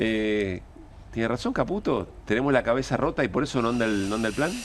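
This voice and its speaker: A man with a plain, everyday voice at medium pitch, with ordinary pitch variation. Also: fairly quick pace, very even loudness. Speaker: radio and TV show host. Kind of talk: political talk show.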